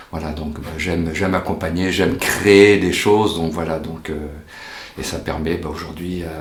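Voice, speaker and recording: A man with a very deep, low pitch speaks at a moderate pace with fairly even intonation and big swings in loudness, amid audible room echo and noticeable background noise. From France, Angoulême (childhood partly in Africa). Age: 60s. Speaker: volunteer hiking group leader, retiree. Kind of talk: interview. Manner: halting, many fillers.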